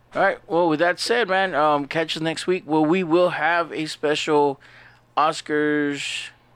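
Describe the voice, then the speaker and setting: An ordinary speaking voice from a man with an American accent, fairly high in pitch, at a fairly slow pace. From San Antonio, Texas. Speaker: podcast host, film reviewer. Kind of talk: casual chat, podcast banter.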